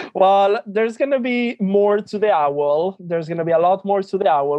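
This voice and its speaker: A man with a Spanish accent. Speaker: drag queen. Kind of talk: interview. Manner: halting.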